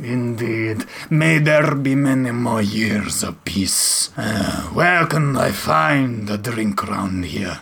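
The voice is a man's put-on character voice at a medium pitch. His pace is very slow.

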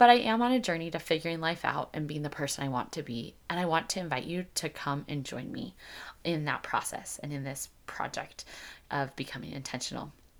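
A woman speaks at a fairly quick pace with lively intonation and a very deep, low pitch. The recording is very clean, with a silent background. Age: 30s. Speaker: podcast host. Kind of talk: solo podcast monologue. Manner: casual, conversational.

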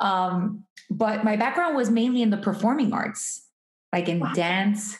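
With an American accent, a somewhat breathy woman at a medium pitch speaks at a fairly slow pace, with ordinary pitch variation. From Miami, Florida (Hialeah). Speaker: artist and entrepreneur. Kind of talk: interview conversation. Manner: energetic.

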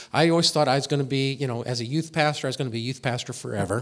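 Here a man with a Midwestern American accent speaks at a fairly high pitch. His pitch varies in an ordinary way. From US Midwest, Indianapolis, Indiana. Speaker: former professor and charity speaker. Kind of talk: interview on stage at church service. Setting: church. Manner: halting with fillers.

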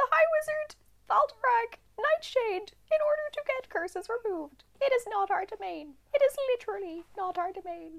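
Someone uses a put-on character voice with an extremely high pitch, at a moderate pace. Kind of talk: pompous clerical speech. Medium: actual play. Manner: formal, courteous but dismissive.

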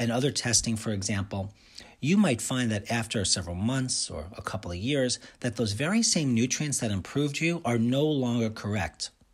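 Somewhat breathy and animated, a man speaks at a medium pitch with ordinary pitch variation. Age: 50s. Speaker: radio host and nutritionist. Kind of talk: monologue radio show.

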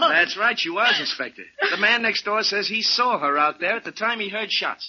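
In a put-on character voice, a man talks at a moderate pace with lively intonation, a high pitch and a slightly husky edge.

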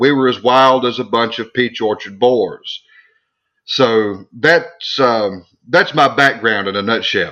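In a Southern US accent, a man talks at a very slow pace. His tone is bright and sharp, with a medium pitch and ordinary pitch variation. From US South, South Arkansas Delta. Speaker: theologian and author. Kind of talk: interview.

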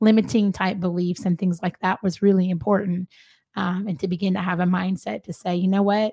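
Somewhat breathy, a woman talks at a fairly quick pace and medium pitch with fairly even intonation, the sound dry and close with no echo. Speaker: guest. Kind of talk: casual interview, sharing testimony.

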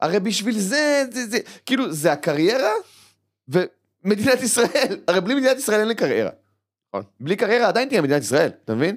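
A man talks in an animated tone at a high pitch, his voice swinging very widely. He moves at a fairly quick pace but takes long, frequent pauses. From Israel, West Bank settlement. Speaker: stand-up comedian. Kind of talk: casual interview. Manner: animated, repetitive stammering.

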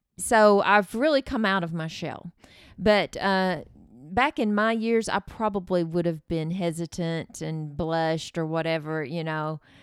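A woman with a normal speaking voice, fairly low in pitch and with ordinary pitch variation, speaks at a fairly slow pace in a very clean recording with a silent background and a dry, close sound with no echo. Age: 50s. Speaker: host's mother, advice giver. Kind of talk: casual chat.

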